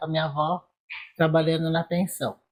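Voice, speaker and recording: Dark, mellow tone in a woman's fairly low-pitched voice. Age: 70s. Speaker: interviewee in documentary. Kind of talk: documentary testimony.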